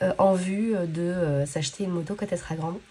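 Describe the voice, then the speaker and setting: A woman speaks at a medium pitch. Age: 30s. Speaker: budgeting vlogger. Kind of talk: casual vlog chat. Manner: hesitant, many fillers.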